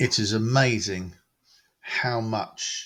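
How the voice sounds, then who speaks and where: The speaker, with a British accent and fairly even intonation, is heard on a very clean recording with a silent background. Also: man. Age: 60s. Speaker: model railway hobbyist. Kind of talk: home tour and project talk. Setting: railway room at home. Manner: hesitant, many fillers.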